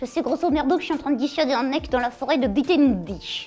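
A woman rattles off lines at a very fast pace in a put-on character voice, with clear music in the background. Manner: cheeky, spontaneous.

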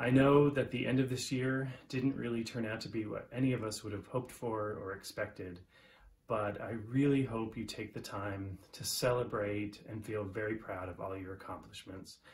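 Against light background noise, a man talks at a moderate pace in a somewhat breathy voice with fairly even intonation. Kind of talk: congratulatory video message. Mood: warm, proud. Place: home room. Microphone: phone near.

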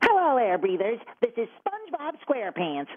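In a put-on character voice, a female-sounding speaker talks at a moderate pace with fairly high pitch and very wide pitch swings. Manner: cheerful, goofy.

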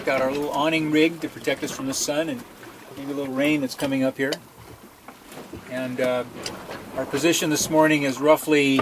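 Noticeable background noise sits behind a man who speaks fairly quickly with fairly even intonation. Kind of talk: casual vlog chat. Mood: relaxed, content. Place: boat. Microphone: phone near.

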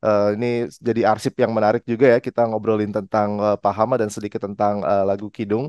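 A man talks at a fairly quick pace with hardly any pauses, his pitch fairly low and his intonation monotone and flat. The sound is dry with no echo over a quiet background. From Indonesia. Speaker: music journalist and show host; music journalist, show host. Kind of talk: interview. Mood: friendly, relaxed. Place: home room. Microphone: headset.

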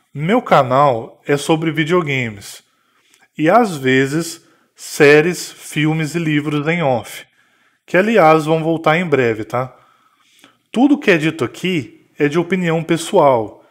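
A man's fairly high voice at a very slow pace, with ordinary pitch variation and long, frequent pauses. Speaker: gaming YouTuber. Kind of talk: vlog monologue. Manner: scripted.

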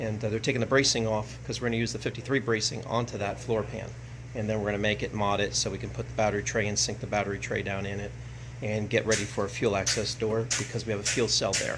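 Fairly low in pitch, a man talks at a very fast pace against noticeable background noise. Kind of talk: casual vlog update. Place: workshop. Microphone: phone near.

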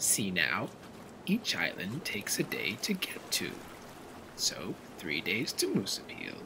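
A man's voice over clear background noise.

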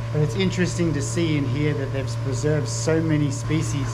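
A man is speaking. Loud background noise runs underneath him. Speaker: travel vlogger. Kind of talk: casual vlog chat. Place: garden. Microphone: phone near.

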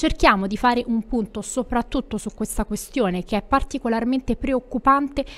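The woman's pitch moves in an ordinary way. She keeps to a moderate pace. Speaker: news presenter. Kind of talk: news reading. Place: studio. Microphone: studio mic.

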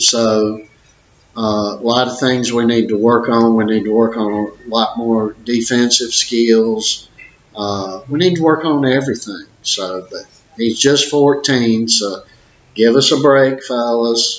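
With audible room echo around him, a man talks at a very slow pace and with fairly even intonation. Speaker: boxing trainer or parent. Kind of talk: casual vlog chat. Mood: friendly, good-humored. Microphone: webcam.

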